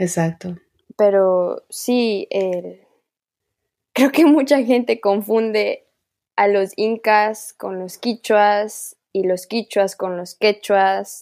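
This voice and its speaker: Speaking at a very slow pace, a woman with a medium-pitched voice and a dark, mellow tone shows ordinary pitch variation. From Ecuador, Amazon region (Kichwa community, Talag). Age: 20s. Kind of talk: casual interview conversation.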